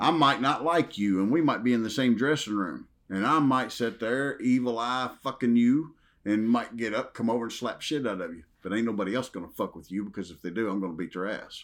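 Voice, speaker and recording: A man's voice with big swings in loudness, on a very clean recording with a silent background. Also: medium pitch for a man, ordinary pitch variation. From US South, Western Kentucky. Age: 50s. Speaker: retired professional wrestler. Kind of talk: casual interview. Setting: horror convention.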